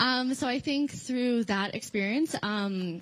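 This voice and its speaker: Somewhat breathy, a woman speaks at a fairly slow pace with lively intonation. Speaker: recruiter, former mental health counselor. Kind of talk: panel introduction at conference workshop.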